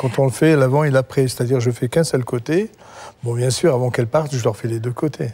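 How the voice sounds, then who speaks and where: Speaking at a very fast pace, a man with a medium pitch is heard over noticeable background noise. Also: ordinary pitch variation. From eastern Algeria. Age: 60s. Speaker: hairdresser and product creator. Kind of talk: sales pitch.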